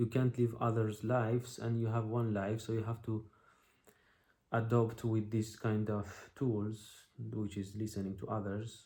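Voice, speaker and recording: A man's dark, mellow, somewhat breathy voice at medium pitch, fairly slow and flat in a monotone. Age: 30s. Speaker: video blogger. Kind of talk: personal reflection monologue. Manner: halting, many fillers.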